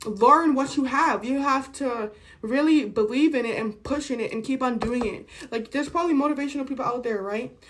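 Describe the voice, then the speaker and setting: Noticeable background noise sits behind a woman's high-pitched voice. She speaks at a fairly quick pace with ordinary pitch variation. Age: 20s. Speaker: vlogger. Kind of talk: casual chat.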